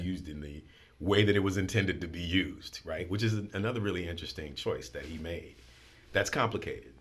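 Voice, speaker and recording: Talking at a very fast pace, a man with a very deep, low pitch sounds somewhat breathy, showing ordinary pitch variation and big swings in loudness. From New Orleans. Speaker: school head and spoken word poet. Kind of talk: interview answer.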